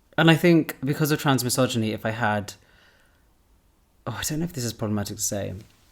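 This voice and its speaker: With a British accent, a man talks at a very fast pace yet with long, frequent pauses, using lively intonation at a medium pitch. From England, British Pakistani family. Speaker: podcast host. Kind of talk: casual chat.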